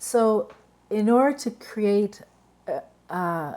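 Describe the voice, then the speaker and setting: Her tone is dark and mellow. This woman's intonation is lively. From Vancouver, Canada. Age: 60s. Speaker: event speaker. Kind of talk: talk to an online community. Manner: conversational, with frequent fillers.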